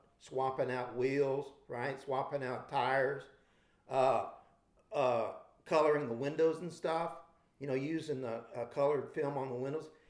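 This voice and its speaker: Amid audible room echo, a man with a fairly high pitch speaks at a fairly slow pace. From Texas (Victoria). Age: 60s. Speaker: scale model builder. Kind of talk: interview storytelling. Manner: casual, animated.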